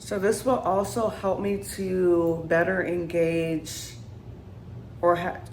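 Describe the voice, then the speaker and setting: Very slow speech with audible room echo. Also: woman, fairly low pitch for a woman, ordinary pitch variation. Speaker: vlogger. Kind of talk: casual vlog to camera. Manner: unscripted, halting with fillers.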